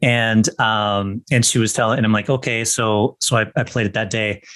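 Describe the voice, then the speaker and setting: A man's normal speaking voice, medium in pitch, at a moderate pace against a quiet background. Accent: American. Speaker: podcast co-host, actor. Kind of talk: casual chat.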